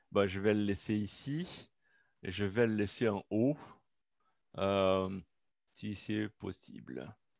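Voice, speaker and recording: Very slow and marked by long, frequent pauses, a man speaks at a fairly low pitch with a non-native accent and ordinary pitch variation. The recording is very clean, with a silent background. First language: not French (speaking French). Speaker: researcher presenting at a seminar. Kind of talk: academic seminar talk. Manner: halting, many hesitations.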